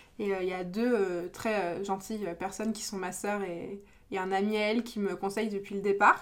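At a moderate pace, a woman with a medium pitch speaks in a monotone, flat way. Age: 20s. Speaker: small business owner. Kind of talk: casual chat. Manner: halting.

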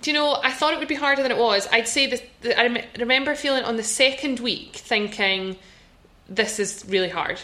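Over noticeable background noise, a woman speaks at a high pitch and a moderate pace. Her pitch variation is ordinary. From Scotland. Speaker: podcast host, law firm founder. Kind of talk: casual chat podcast. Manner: upbeat, excited.

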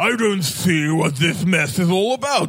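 The speaker uses a put-on character voice. Its pace is moderate. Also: man, high pitch for a man.

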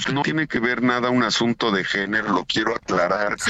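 Over noticeable background noise, a man talks at a fairly quick pace and medium pitch. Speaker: senator. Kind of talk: radio interview.

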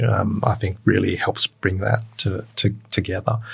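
With fairly even intonation and a somewhat breathy sound, a man speaks at a fairly low pitch and a moderate pace. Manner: halting.

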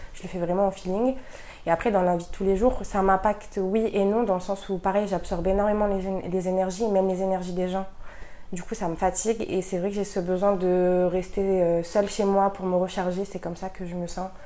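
Her voice is dark and mellow, at a medium pitch for a woman. She talks at a moderate pace in a monotone, flat intonation. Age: 20s. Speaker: guest sharing esoteric experiences. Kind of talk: casual chat.

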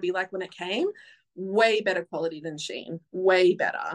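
The recording has a dry, close sound with no echo. A woman with a medium pitch speaks with an Australian accent. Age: 30s. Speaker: photographer. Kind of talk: casual chat. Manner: loud.

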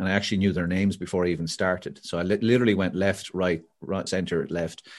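Against a quiet background, a man with an Irish accent talks at a very fast pace in a very deep, low voice. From Ireland. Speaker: motivational speaker and author. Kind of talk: casual interview. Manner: animated storyteller.

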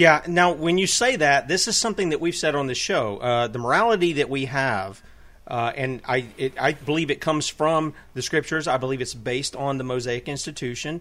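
A man uses a normal speaking voice, fairly high in pitch, with lively intonation. He talks at a fairly quick pace with hardly any pauses. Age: 50s. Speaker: talk radio host. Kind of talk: interview. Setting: radio studio.

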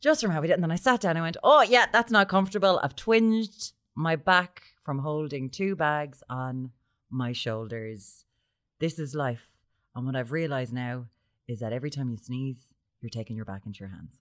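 In a Limerick accent, a woman with a very deep, low voice speaks at a moderate pace, her pitch swinging very widely and her loudness shifting a lot, on a very clean recording with a silent background. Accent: Irish (Limerick). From Ireland, Limerick. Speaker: podcast co-host. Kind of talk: casual chat.

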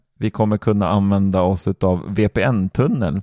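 With a dark, mellow tone, a man speaks at a fairly low pitch. The sound is dry and close with no echo, on a very clean recording with a silent background. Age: 20s. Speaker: tech podcast co-host. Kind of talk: casual chat.

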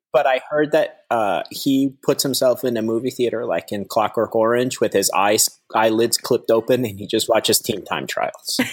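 Speaking at a moderate pace, a man talks with hardly any pauses. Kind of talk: casual chat.

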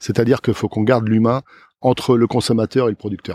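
A man talks at a very fast pace in a very clean recording with a silent background and a dry, close sound with no echo. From Loire-Atlantique, France (Plessé). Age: 60s. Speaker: farmer. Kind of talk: casual interview. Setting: outdoors in a field.

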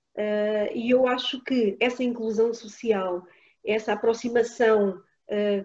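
A woman with a fairly high pitch and a dark, mellow tone. She speaks at a fairly slow pace with fairly even intonation. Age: 40s. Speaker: football coach and former player. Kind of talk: interview. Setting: live audience.

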